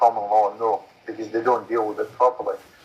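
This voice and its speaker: A man talks while noticeable background noise carries through. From Scotland. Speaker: common law court representative. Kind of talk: Q&A in online meeting.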